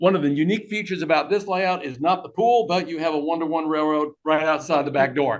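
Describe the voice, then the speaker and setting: A man has an unremarkable speaking voice. He talks at a fairly quick pace with ordinary pitch variation. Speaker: model railroader. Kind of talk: club presentation talk. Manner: casual, conversational.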